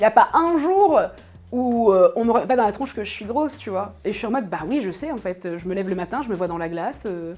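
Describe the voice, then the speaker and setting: With music in the background, a woman talks at a fairly quick pace in a fairly high pitch with lively intonation. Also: big swings in loudness. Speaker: streamer. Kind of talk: interview. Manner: casual, colloquial.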